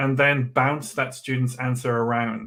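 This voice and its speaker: In a Geordie accent, a man speaks at a moderate pace and medium pitch with fairly even intonation. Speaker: education trainer. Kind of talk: online workshop.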